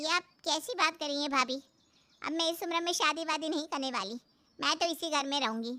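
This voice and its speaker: A woman does a cartoonish character voice, high-pitched and at a fairly quick pace. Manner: sharp, taunting.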